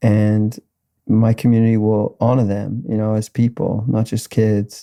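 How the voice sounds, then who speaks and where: A man with an Australian accent, fairly low in pitch with a dark, mellow tone, on a very clean recording against a silent background. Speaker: musician. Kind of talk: casual chat.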